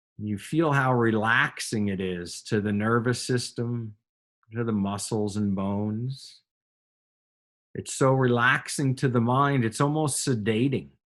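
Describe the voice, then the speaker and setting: A man with an unremarkable speaking voice, medium pitch, ordinary pitch variation and a fairly slow pace. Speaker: yoga and meditation teacher. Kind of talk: guided meditation and breathing instruction. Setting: online or group class session with students.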